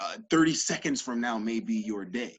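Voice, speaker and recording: This man's voice makes very wide pitch swings. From US South (Georgia), moved to Illinois at ten. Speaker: entrepreneur, sales coach. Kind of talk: podcast interview.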